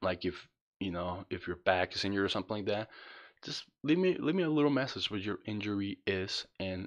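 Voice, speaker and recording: A man with a non-native accent, fairly low pitch, ordinary pitch variation and a fairly quick pace, against a quiet background. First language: not English. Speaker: spinal cord injury vlogger. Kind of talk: tutorial. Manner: casual, halting with repetitions.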